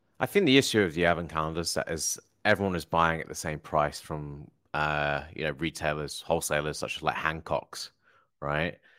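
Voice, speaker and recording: In a very clean recording with a silent background, a man with a southern English accent talks at a fairly quick pace in a very deep, low voice with a bright, sharp tone and fairly even intonation. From Hertfordshire, England. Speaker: Amazon seller, entrepreneur. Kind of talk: casual chat.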